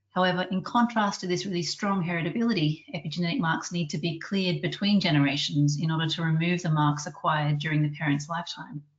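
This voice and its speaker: A woman talks very fast in an Australian accent, her voice fairly low and somewhat breathy. Her pitch varies in an ordinary way. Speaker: research scientist and webinar chair. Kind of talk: webinar introduction. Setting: online webinar. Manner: formal.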